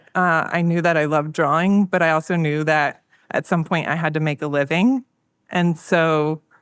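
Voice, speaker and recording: A woman with an American accent speaks at a moderate pace and a fairly low pitch, with ordinary pitch variation. The recording is very clean, with a silent background. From West Virginia. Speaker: designer and illustrator. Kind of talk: interview. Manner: soft-spoken.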